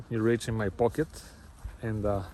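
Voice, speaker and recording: A somewhat breathy voice with a Bulgarian accent moves at a moderate pace. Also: man. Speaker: travel vlogger. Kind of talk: casual vlog narration. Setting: outdoors, walking on street at night. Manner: halting, many fillers.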